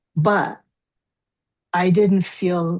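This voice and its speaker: Fairly low in pitch and somewhat breathy, a woman with an American accent speaks in a dark, mellow tone with fairly even intonation. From New Jersey. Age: 60s. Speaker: forgiveness coach. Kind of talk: interview.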